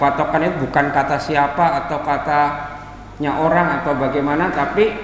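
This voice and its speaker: Over noticeable background noise and audible room echo, a man with a fairly high pitch speaks in a strong Jakarta accent. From Jakarta, Indonesia (Betawi-Solo mixed family). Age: 20s. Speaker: Islamic preacher. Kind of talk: religious lecture. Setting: mosque with live audience. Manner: conversational, engaging the audience with questions.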